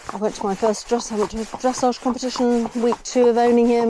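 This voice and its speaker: Noticeable background noise sits under a woman talking at a fairly quick pace. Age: 60s. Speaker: vlogger. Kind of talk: casual vlog monologue. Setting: outdoors on horseback.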